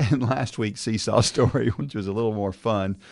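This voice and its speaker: A man with a Southern US accent at a fairly quick pace, fairly even intonation, against a quiet background. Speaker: podcast host. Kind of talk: casual chat.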